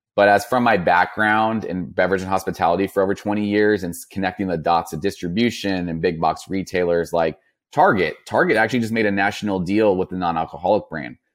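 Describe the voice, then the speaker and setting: In an American accent, a man speaks with a very deep, low pitch and ordinary pitch variation. His pace is fairly quick with hardly any pauses, in a very clean recording with a silent background. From Northern California. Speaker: non-alcoholic shop founder. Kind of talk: interview conversation. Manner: casual with fillers.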